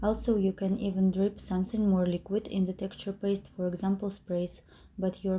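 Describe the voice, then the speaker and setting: A woman's somewhat breathy, dark, mellow voice at medium pitch, in a Russian accent, with monotone, flat intonation and a moderate pace. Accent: non-native English, Russian. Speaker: mixed media craft tutor. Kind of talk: tutorial. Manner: hesitant, many filler sounds.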